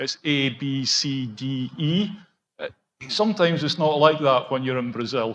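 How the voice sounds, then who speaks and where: With a Scottish accent, a man talks at a moderate pace in a fairly high pitch with ordinary pitch variation. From Scotland. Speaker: project executive for contractors. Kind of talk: conference panel discussion.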